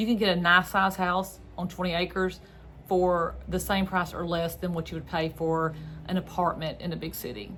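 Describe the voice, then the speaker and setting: With a Southern US accent, a woman of medium pitch speaks at a moderate pace and with fairly even intonation. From North Central Florida. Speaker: real estate agent. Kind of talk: informational vlog. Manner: casual, conversational.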